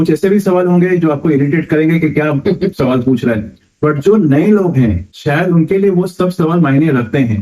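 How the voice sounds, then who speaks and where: Speaking at a moderate pace, a man with a fairly high pitch uses a dark, mellow tone and lively intonation. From Mumbai, India. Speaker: first-time pilgrim asking questions. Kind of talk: podcast interview.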